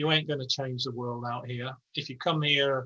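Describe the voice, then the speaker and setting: A man with an English accent speaks at a fairly quick pace in a bright, sharp tone at a medium pitch. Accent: English accent, noticeable. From England, Yorkshire. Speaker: architecture professor and studio director. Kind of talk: interview conversation. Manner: casual, frank, with many false starts.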